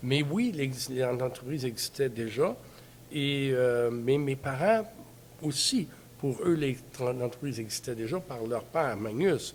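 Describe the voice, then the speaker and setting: Speaking at a very slow pace, a man uses a medium pitch with ordinary pitch variation. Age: 70s. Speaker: family business president. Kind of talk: interview.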